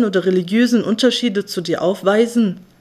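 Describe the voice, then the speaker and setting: A woman talks at a moderate pace with a fairly high pitch and ordinary pitch variation. It is an unremarkable speaking voice. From Germany. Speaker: spoken-word essayist. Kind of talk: spoken-word monologue. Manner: ironic, sarcastic delivery.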